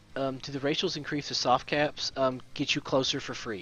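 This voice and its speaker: Fairly quick speech from a man, set over background music. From Kentucky. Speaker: gaming streamer. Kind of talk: live stream Q&A. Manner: casual, conversational.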